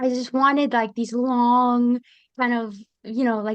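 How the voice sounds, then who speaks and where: A woman at a fairly slow pace against a quiet background. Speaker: podcast co-host, military veteran. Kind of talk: casual chat. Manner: hesitant, many fillers.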